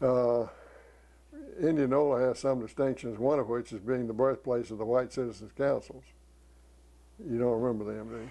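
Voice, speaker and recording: Speaking in a Southern US accent at a moderate pace and medium pitch, a man uses fairly even intonation and a dark, mellow tone, with long, frequent pauses. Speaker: retired priest and engineer. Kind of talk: oral history interview. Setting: at home. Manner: halting.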